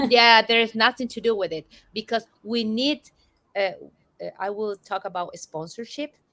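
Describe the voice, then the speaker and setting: A woman with a Spanish accent speaks at a moderate pace in a fairly high pitch with ordinary pitch variation. Her tone is bright and sharp, and the sound is dry and close with no echo. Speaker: change management consultant. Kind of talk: interview.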